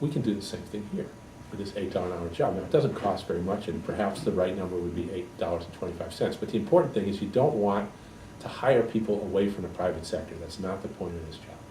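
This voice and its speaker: A man talks at a very fast pace and a fairly low pitch, with ordinary pitch variation. Room echo is audible, and there is noticeable background noise. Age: 60s. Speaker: economist and political candidate. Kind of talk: interview.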